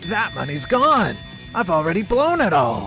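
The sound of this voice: A man puts on a cartoonish character voice, high-pitched with a bright, sharp tone and very wide pitch swings. He speaks at a fairly slow pace over faint music in the background.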